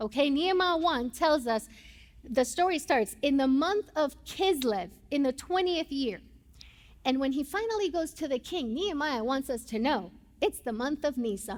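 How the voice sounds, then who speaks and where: A woman with a high pitch speaks at a moderate pace in a Puerto Rican accent. Her tone is animated and her intonation lively. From Puerto Rico. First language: Spanish. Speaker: pastor. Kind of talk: sermon. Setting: church.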